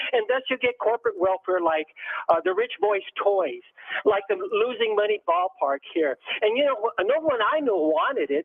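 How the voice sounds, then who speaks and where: Speaking with an American accent, a man with a high pitch uses lively intonation against noticeable background noise. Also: moderate pace, very even loudness. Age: 70s. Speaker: caller, former city council candidate. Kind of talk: call-in radio comment. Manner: halting, many fillers.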